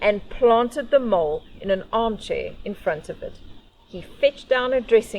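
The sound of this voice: The speaker uses an unforced reading voice. The delivery stays unforced throughout.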